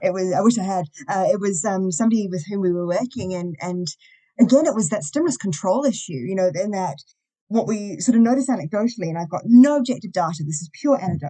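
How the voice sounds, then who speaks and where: A woman with a New Zealand accent talks at a very fast pace with lively intonation. Her tone is dark and mellow, and her pitch sits in the medium range. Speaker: university lecturer and behaviour analyst. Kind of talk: podcast interview.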